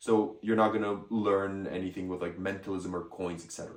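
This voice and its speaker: A man with a French accent speaks at a fairly quick pace, and audible room echo surrounds his voice. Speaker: magic product reviewer. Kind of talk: product review. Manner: casual, hesitant at times.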